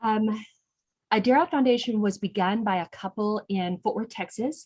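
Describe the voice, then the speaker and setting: A woman with a medium-pitched, somewhat breathy voice speaks at a moderate pace with ordinary pitch variation. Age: 60s. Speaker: non-profit executive director. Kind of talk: online interview.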